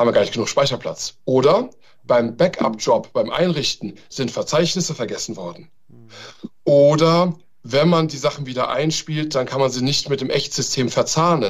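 A man talks with a normal speaking voice at a moderate pace, his fairly high pitch varying in an ordinary way. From Germany, Taunus (Hesse). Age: 40s. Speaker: ethical hacker, cybersecurity consultant. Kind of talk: podcast interview.

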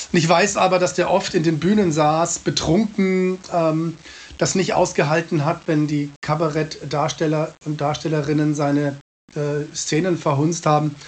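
At a fairly slow pace, a man speaks at a fairly high pitch with fairly even intonation. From Munich, Bavaria. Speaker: cabaret artist. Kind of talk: interview. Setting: remote call from home.

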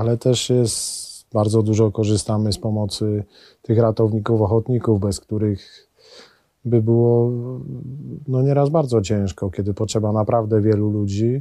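Here a man speaks with a dark, mellow tone at a fairly low pitch. His pace is moderate and his intonation fairly even. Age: 40s. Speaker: mountain rescuer. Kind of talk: interview. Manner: halting, with many repeated words.

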